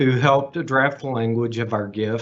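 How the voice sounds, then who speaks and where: A man with a Texas accent and fairly even intonation. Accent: Texas twang. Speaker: associate professor and donor. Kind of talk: prepared speech.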